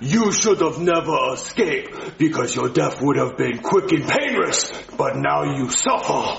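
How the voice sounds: With audible room echo, a put-on character voice with vocal fry and big pitch swings moves at a fairly slow pace. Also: man, fairly high pitch for a man.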